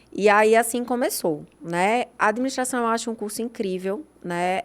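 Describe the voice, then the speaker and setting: A plain, everyday voice speaks with ordinary pitch variation. The recording is very clean with a silent background. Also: woman. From Brazil, Pernambuco (Recife). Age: 40s. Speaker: nutritionist. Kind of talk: interview.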